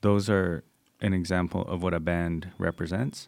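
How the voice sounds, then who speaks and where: Captured in a very clean recording with a silent background, a man speaks in a very deep, low voice. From Coast Salish territory, British Columbia. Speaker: civil engineer. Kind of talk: casual discussion.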